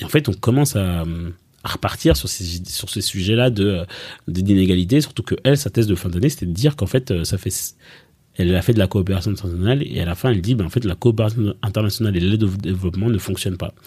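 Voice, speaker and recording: Dark and mellow in tone, a man's voice sits at a fairly low pitch and sounds somewhat breathy. He goes at a very fast pace with ordinary pitch variation. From Belgium, grew up after early childhood in Rwanda, Congo and Kenya refugee camps. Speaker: startup coach and fundraising advisor. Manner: hesitant, many fillers and repetitions.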